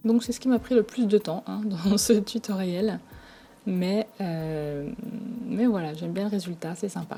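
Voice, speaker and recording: A soft-spoken woman of medium pitch with ordinary pitch variation, a fairly slow pace and long, frequent pauses. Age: 30s. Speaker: craft tutorial creator. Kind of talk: tutorial.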